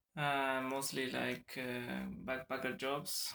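The voice has a bright, sharp tone in a Spanish accent. It moves at a fairly slow pace with ordinary pitch variation. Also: man. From Argentina. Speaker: traveller, yoga teacher trainee. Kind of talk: casual interview. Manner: halting.

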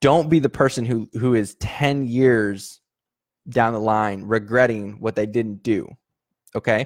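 A man talks at a fairly slow pace with medium pitch and ordinary pitch variation. It is an ordinary speaking voice on a very clean recording with a silent background. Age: 30s. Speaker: podcast host and online sales coach. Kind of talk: motivational monologue. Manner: casual, with frequent fillers and repetitions.

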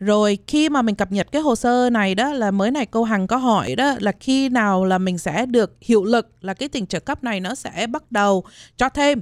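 Recorded very cleanly with a silent background and a dry, close sound with no echo, a woman speaks at a moderate pace with ordinary pitch variation in a plain, everyday voice. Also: fairly high pitch for a woman. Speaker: health insurance agent. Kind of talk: informative talk on radio.

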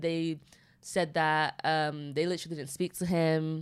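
A northern English accent on a very clean recording with a silent background. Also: woman. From Manchester, northern England. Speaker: podcast co-host. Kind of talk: casual chat.

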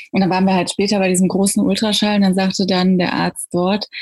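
Somewhat breathy, a woman talks at a fairly quick pace with a medium pitch. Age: 30s. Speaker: mother sharing birth story. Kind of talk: interview about personal birth experience.

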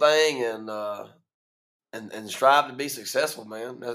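In a room with audible echo, a man with an American accent speaks at a moderate pace in a bright, sharp tone, with long, frequent pauses and big swings in loudness. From eastern North Carolina, Greene County. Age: 20s. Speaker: bar owner. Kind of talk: casual interview chat.

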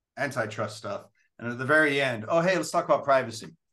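The voice belongs to a man and has a bright, sharp tone. He speaks with an American accent. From England, then Southern California. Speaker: bank lawyer. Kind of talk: interview.

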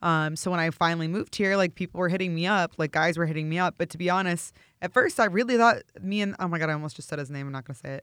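Very fast speech with a Midwestern American accent on a very clean recording with a silent background. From St. Louis, Missouri. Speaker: meal prep business owner and model. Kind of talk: casual chat. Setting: Los Angeles. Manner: animated.

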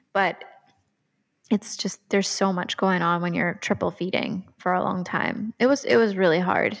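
Using vocal fry, a woman speaks at a medium pitch and a moderate pace with ordinary pitch variation. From Rhode Island. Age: 30s. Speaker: dietitian and mother. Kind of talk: casual chat.

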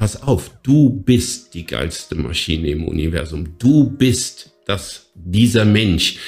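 Using vocal fry, a man speaks at a very slow pace. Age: 50s. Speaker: fitness coach and podcast co-host. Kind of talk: casual chat. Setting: office. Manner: animated.

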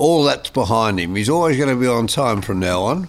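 This man speaks at a medium pitch with lively intonation and an Australian accent. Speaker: podcast co-host. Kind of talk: casual interview.

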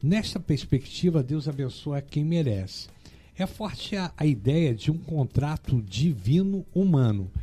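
A fairly high-pitched man with very wide pitch swings, speaking at a fairly slow pace over music in the background. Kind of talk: reading aloud; casual chat.

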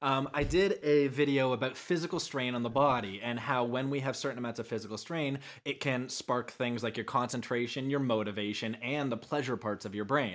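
In an unremarkable speaking voice, a man talks at medium pitch and a fairly quick pace with hardly any pauses and ordinary pitch variation, on a very clean recording with a silent background. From Canada. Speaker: ADHD speaker and advocate. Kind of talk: casual chat.

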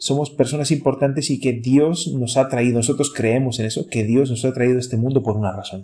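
Dark and mellow, somewhat breathy, a man's medium-pitched voice moves at a fairly quick pace with hardly any pauses and fairly even intonation, in a very clean recording against a silent background. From Chile, Santiago. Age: 30s. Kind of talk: casual chat.

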